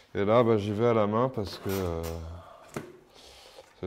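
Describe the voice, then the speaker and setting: A man with a fairly low voice speaks at a fairly slow pace. Room echo is audible. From France, Paris region. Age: 30s. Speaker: street artist. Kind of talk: interview and demonstration. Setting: artist's workshop.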